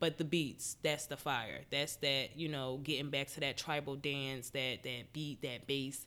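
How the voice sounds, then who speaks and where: A woman with an American accent speaks at a fairly slow pace with hardly any pauses, her very deep, low pitch carrying a bright, sharp tone and monotone, flat intonation. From Philadelphia, US. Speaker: yoga instructor. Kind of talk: casual chat.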